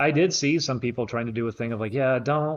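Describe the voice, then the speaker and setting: This man has an ordinary speaking voice. He talks at a fairly quick pace with ordinary pitch variation. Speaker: streamer. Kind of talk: livestream talk to chat.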